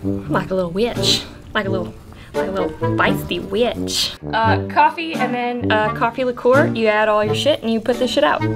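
Clear music plays in the background. A woman speaks at a moderate pace. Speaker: host of a drink recipe show. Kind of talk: comedic tutorial. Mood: crude, playful, joking. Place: bar.

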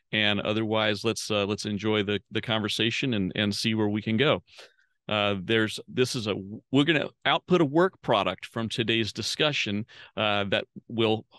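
A man speaks at a fairly low pitch with a bright, sharp tone and ordinary pitch variation. The background is quiet. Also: moderate pace, dry sound with no echo. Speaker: host, facilitator. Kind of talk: meeting introduction. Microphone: video call.

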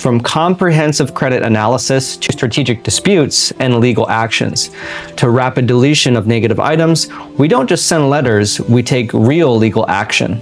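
A man at a moderate pace over faint music in the background. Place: home room.

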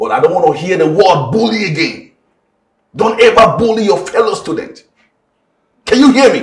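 Audible room echo is present as a man speaks. His pace is moderate and the background quiet. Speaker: teacher character in a drama. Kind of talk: scolding lecture to a child. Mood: stern, scolding. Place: classroom.

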